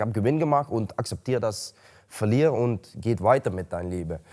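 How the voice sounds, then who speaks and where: With a Dutch accent, a man talks at a moderate pace in a fairly low pitch with ordinary pitch variation against a quiet background. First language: Dutch (speaking German). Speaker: MMA fighter. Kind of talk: interview. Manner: halting. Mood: calm, matter-of-fact. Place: gym.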